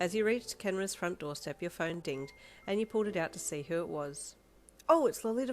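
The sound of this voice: Read in an unforced reading voice, the words carry lively intonation.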